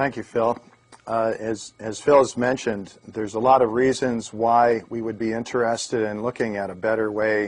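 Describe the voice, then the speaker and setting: A man at a moderate pace, with fairly even intonation. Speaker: presenter. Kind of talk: lecture. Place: studio. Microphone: lapel.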